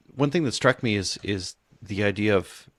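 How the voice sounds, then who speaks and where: A man's fairly low voice, dry and close with no echo, on a very clean recording over a silent background. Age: 50s. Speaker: podcast host. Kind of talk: casual interview chat. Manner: halting, many repeated words.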